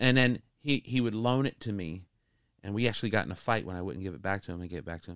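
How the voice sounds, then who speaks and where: A man with an ordinary speaking voice and a fairly low pitch uses ordinary pitch variation in a dry, close sound with no echo. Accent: American. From northeast Florida. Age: 40s. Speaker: music producer. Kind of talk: casual chat. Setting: recording studio.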